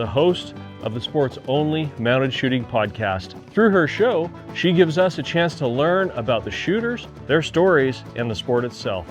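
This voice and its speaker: With music playing behind him, a man with a fairly high voice speaks at a moderate pace, his pitch swinging very widely. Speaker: interviewer. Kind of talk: show introduction narration.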